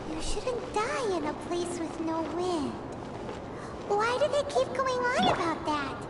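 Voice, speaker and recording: Someone uses a put-on character voice at a fairly slow pace over loud background noise. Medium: game stream. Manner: expressive, blunt.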